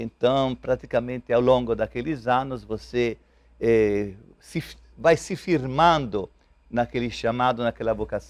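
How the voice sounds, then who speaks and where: With an Italian accent, a man speaks at a fairly slow pace. His pitch is medium, with ordinary variation. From Italy. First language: Italian (speaking Portuguese). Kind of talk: TV interview. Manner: halting.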